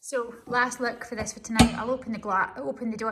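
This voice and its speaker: A woman with a Scottish accent, bright, sharp and animated in tone, at a moderate pace. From Scotland. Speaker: stove retailer and reviewer. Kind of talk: casual vlog demonstration. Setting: office with a stove, large cold building. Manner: chatty, animated.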